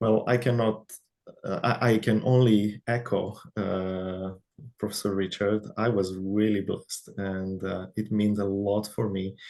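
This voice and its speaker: Speaking with a non-native accent, a man has a fairly low, dark, mellow voice and talks at a fairly slow pace with monotone, flat intonation. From Romania. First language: Romanian. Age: young. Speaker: researcher, IT background. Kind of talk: interview. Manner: halting.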